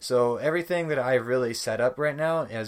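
At a moderate pace, a man speaks with ordinary pitch variation in a very clean recording with a silent background. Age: 20s. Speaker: gaming youtuber and podcaster. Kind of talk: casual solo monologue. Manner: hesitant with many fillers.

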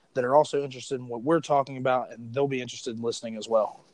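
An ordinary speaking voice carries an American accent with ordinary pitch variation. The sound is dry and close, with no echo. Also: man. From West Virginia. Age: 20s. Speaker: podcast host. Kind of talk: casual chat. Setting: phone call.

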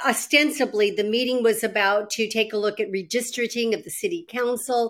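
A woman with an American accent speaks in a plain, everyday voice at a fairly high pitch and moderate pace, with ordinary pitch variation, on a very clean recording with a silent background. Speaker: former state senator. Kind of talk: interview.

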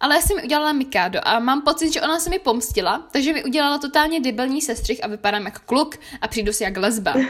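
A woman talks with a high pitch, lively intonation and a fairly bright tone. She leaves few pauses.

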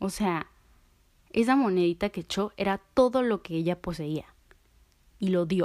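At a fairly slow pace, a woman speaks in a medium pitch with ordinary pitch variation and long, frequent pauses. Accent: Mexican. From Mexico. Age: 20s. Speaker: podcast host. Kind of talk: casual monologue; guided visualization.

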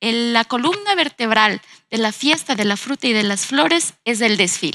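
A woman's fairly high voice at a moderate pace, with lively intonation, a bright, sharp tone and a dry, close sound with no echo. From Ecuador, Ambato. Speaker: designer and university lecturer. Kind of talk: panel discussion.

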